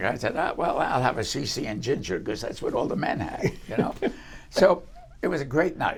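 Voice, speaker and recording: This voice has vocal fry and a fairly quick pace. Its pitch swings very widely. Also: man, fairly high pitch for a man. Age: 90s. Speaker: retired aerospace engineer, entrepreneur. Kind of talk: interview answer, storytelling.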